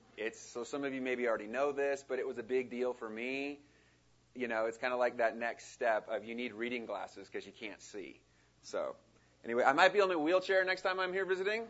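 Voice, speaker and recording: The speaker is a man with a plain, everyday voice. His pitch is medium and his intonation lively. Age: 40s. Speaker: missionary. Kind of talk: sermon. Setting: church.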